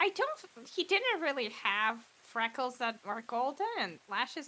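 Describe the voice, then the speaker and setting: A put-on character voice that sounds female moves along at a moderate pace. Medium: actual play. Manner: chatty, casual.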